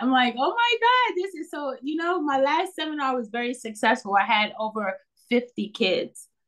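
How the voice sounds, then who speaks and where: This woman has a New York accent and a high pitch. She speaks at a fairly slow pace with lively intonation. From New York City, Bronx. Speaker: teacher and children's author. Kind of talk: interview. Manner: animated.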